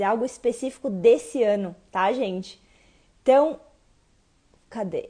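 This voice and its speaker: Speaking at a fairly slow pace with ordinary pitch variation, a woman's high voice comes through over a quiet background. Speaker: live stream host. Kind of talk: casual live chat.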